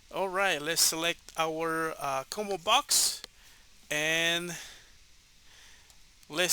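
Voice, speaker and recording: A man with a Spanish accent talks at a high pitch in a bright, sharp tone. His pace is very slow. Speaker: programming tutor. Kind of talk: tutorial. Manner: halting, many fillers.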